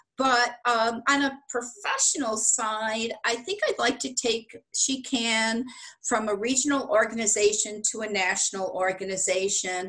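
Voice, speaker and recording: Her fairly high voice, bright and sharp in tone, moves with ordinary pitch variation and hardly any pauses as this woman speaks. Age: 60s. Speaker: business executive and women's organization founder. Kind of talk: interview.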